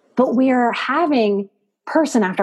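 A woman with an unremarkable speaking voice, a fairly high pitch, lively intonation and a fairly slow pace. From US South, New Orleans. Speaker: psychotherapist and life coach. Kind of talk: interview.

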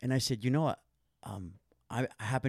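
A man with an American accent talks at a very fast pace, the sound dry and close with no echo in a very clean recording with a silent background. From Santa Monica, California. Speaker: yoga and meditation teacher. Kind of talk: casual interview.

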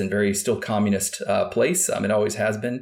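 Very fast speech from a man with a Midwestern US accent, fairly low in pitch, on a very clean recording with a silent background. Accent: General American, Midwestern. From Kansas, US Midwest. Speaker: former FBI agent and national security official. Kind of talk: interview. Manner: hesitant, many fillers and repeats.

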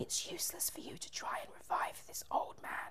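A put-on character voice whispers at a moderate pace. Clear background noise runs underneath. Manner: evil whispering.

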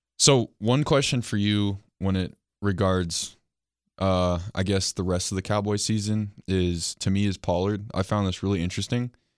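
An ordinary speaking voice belongs to a man with an American accent and fairly low pitch. He talks at a fairly slow pace with fairly even intonation on a very clean recording over a silent background. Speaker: sports podcast host. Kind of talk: casual chat.

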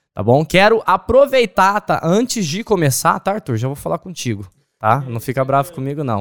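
In a very clean recording with a silent background and a dry, close sound with no echo, a man speaks at a moderate pace. His fairly high voice has an animated tone and very wide pitch swings. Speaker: podcast host. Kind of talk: casual interview.

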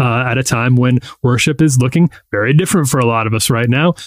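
A man with a normal speaking voice talks at a fairly quick pace. His medium pitch shows ordinary variation. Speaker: magazine editor. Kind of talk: casual chat.

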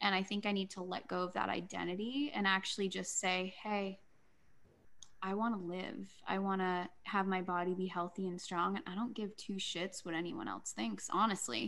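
A woman talks at a moderate pace with a medium pitch and ordinary pitch variation. Hers is a plain, everyday voice. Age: 30s. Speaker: life coach and healer. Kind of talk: casual interview chat.

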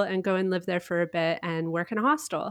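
Against a quiet background, a woman of medium pitch speaks in an ordinary speaking voice with a Canadian accent and ordinary pitch variation. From Canada. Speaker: travel blogger and podcaster. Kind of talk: casual interview.

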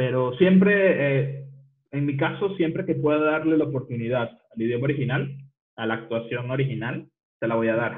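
A normal speaking voice moves at a moderate pace. The pitch shows ordinary variation. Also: man, medium pitch for a man. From Venezuela. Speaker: designer and programmer. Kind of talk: casual chat.

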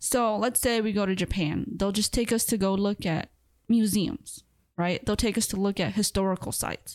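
A woman with an American accent has a normal speaking voice at a medium pitch. She talks at a moderate pace with ordinary pitch variation. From US Midwest, Milwaukee, Wisconsin. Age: 20s. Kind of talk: casual chat.

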